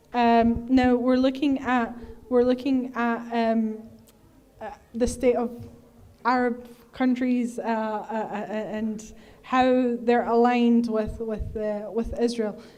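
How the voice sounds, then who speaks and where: A woman's fairly high voice at a very slow pace, monotone and flat in intonation, with audible room echo. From Egyptian heritage. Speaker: activist speaker. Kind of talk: Q&A answer at a talk. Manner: hesitant with many fillers.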